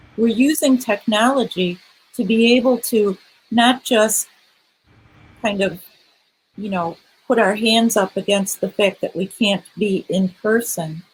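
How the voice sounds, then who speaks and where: A somewhat breathy woman with a fairly high pitch speaks at a fairly slow pace, with ordinary pitch variation and long, frequent pauses. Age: 60s. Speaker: panelist at a church conference session. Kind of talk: panel discussion. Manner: hesitant, many fillers.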